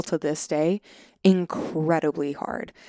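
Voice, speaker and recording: On a very clean recording with a silent background, a woman with an American accent speaks in an animated tone, her very deep, low pitch showing ordinary pitch variation. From Long Island, New York. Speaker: poet. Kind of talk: casual chat. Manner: animated, laughs often.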